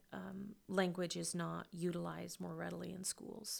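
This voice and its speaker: A woman with a Midwestern American accent speaks on a very clean recording against a silent background. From rural western Kansas, US. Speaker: education professor. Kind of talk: interview.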